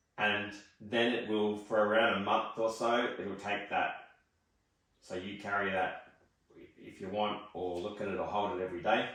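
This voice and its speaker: A man speaks in a monotone with flat intonation. There is audible room echo. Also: fairly low pitch for a man, moderate pace. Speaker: psychic medium. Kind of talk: spiritual reading session.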